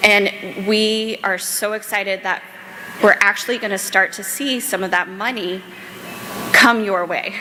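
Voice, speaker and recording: Over noticeable background noise, a woman with an American accent talks at a medium pitch. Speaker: panel moderator, policy director. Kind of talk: panel moderation at a conference. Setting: stage with audience. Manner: animated.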